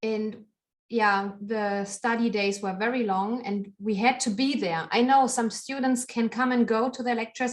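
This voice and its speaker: Her intonation fairly even, a woman speaks at a fairly high pitch with a German accent. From Germany. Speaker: knitter and podcaster. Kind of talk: interview conversation.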